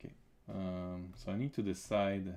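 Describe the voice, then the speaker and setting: A man talks with a non-native accent. His pitch is very deep and low. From Quebec. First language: French. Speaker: comic artist and illustrator; comic artist. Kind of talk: live-stream drawing commentary. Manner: halting, many fillers and repetitions. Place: home room.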